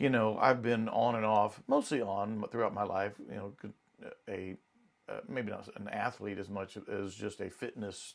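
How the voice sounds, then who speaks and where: A man with an unremarkable speaking voice talks at a moderate pace and fairly low pitch, his intonation fairly even but his loudness swinging widely. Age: 60s. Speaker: counselor. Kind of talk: casual chat.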